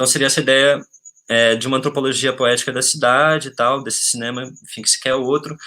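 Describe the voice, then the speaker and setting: A man with a medium pitch and a bright, sharp tone speaks fairly quickly in a monotone, flat delivery. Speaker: film researcher. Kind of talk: webinar talk. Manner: fast.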